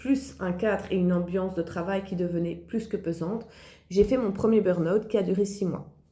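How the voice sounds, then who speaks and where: A woman with a dark, mellow, somewhat breathy tone speaks at a medium pitch with ordinary pitch variation, with audible room echo around her. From Belgium. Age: 40s. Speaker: online entrepreneur, former occupational therapist. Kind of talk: personal testimony.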